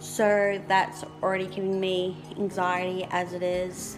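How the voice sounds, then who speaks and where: A woman with monotone, flat intonation and clear music in the background. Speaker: vlogger. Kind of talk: casual vlog chat. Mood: relaxed, slightly anxious. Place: home room. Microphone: phone near.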